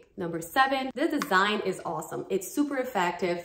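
The speaker, with a Brazilian accent, talks in an animated tone with lively intonation. Audible room echo and light background noise are present. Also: woman. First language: Portuguese. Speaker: dance fitness YouTuber. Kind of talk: sponsored product review. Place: home room. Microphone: phone near.

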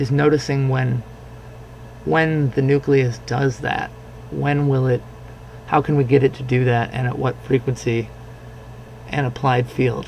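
Over noticeable background noise, a man of medium pitch speaks at a fairly slow pace with fairly even intonation and long, frequent pauses. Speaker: science instructor. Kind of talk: lecture demonstration. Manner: hesitant, casual.

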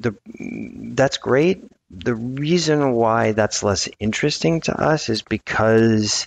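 With an American accent, the speaker goes at a very slow pace in a dry sound with no echo. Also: man. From US South, New Orleans; Louisiana. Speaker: architect and developer; guest. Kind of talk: interview conversation. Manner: halting, many fillers and repetitions. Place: office. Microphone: headset.

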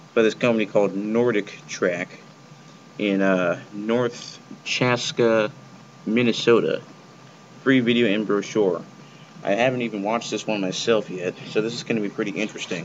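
A man's fairly low-pitched voice at a moderate pace, with fairly even intonation, long, frequent pauses and light background noise. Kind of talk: casual vlog chat. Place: home room. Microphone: webcam.

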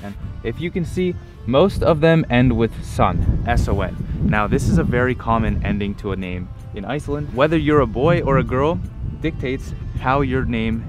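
Clear music sits behind a man who speaks at a moderate pace, the sound dry with no echo. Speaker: travel vlogger. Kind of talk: casual vlog chat. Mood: cheerful, upbeat. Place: street. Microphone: phone near.

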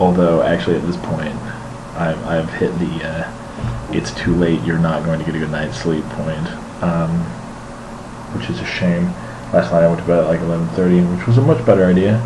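A very deep, low-pitched man at a moderate pace, with ordinary pitch variation, long, frequent pauses and music in the background. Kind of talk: casual vlog chat. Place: home room. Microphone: webcam.

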